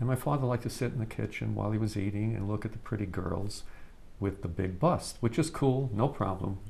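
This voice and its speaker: A man speaks fairly quickly in a New York accent, his voice somewhat breathy. His pitch is fairly low, with ordinary variation. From New York City (Brooklyn). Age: 70s. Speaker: storyteller. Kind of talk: casual chat. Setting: outdoors. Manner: halting.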